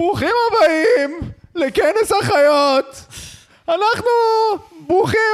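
A man's put-on character voice, extremely high-pitched, broken by long, frequent pauses. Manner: comical.

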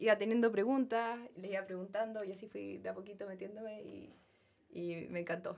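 A woman with a Chilean accent, medium pitch and a moderate pace. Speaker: software engineering trainee. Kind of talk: casual interview chat.

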